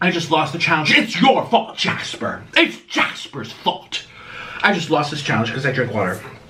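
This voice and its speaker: Putting on a strained character voice, a man speaks at a moderate pace with a fairly high pitch and very wide pitch swings. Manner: strained, difficult speech.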